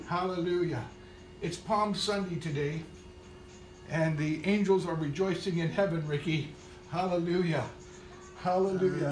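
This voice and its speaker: Faint music plays in the background while a man speaks at a high pitch with fairly even intonation. He keeps a moderate pace with long, frequent pauses, and room echo is audible. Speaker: minister. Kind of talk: prayer and scripture reading. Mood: fervent, tender.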